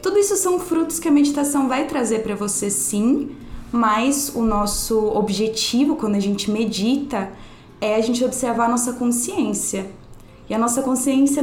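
The speech moves at a moderate pace with ordinary pitch variation, heard over noticeable background noise and audible room echo. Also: woman. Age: 20s. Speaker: meditation and yoga teacher. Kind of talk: casual interview chat.

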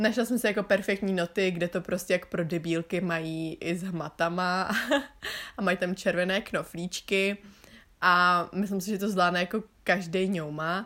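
The recording is very clean with a silent background, carrying a woman's bright, sharp tone at a medium pitch. She keeps a moderate pace and fairly even intonation. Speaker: podcaster and student. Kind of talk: casual monologue.

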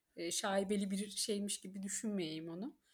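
A woman with a medium pitch and a somewhat breathy voice speaks at a moderate pace with ordinary pitch variation. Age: 30s. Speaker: book reader guest, HR manager. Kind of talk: casual chat.

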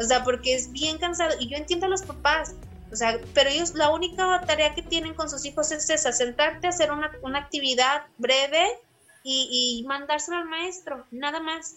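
A woman with a high voice talks over noticeable background noise. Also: ordinary pitch variation, moderate pace. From Saltillo, Coahuila, northern Mexico. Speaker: primary school teacher. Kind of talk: casual interview.

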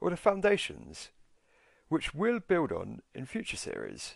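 A man with a British accent at a moderate pace, over a quiet background. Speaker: podcast host, personal finance educator. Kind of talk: scripted podcast intro/monologue. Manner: friendly, informal, conversational.

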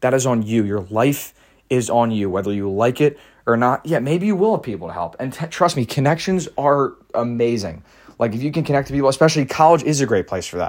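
An unremarkable speaking voice belongs to a man of medium pitch talking at a fairly quick pace with lively intonation. The recording is very clean, the background silent. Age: young. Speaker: podcast host. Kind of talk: solo monologue. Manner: casual, many filler words.

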